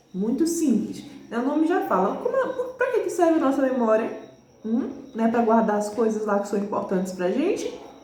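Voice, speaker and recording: A woman at a high pitch with very wide pitch swings and a moderate pace, amid audible room echo and noticeable background noise. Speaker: teacher. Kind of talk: lecture.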